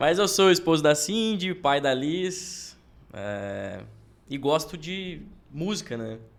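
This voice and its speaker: Very wide pitch swings mark this man's speech, delivered at a very slow pace. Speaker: church musician. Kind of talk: casual chat.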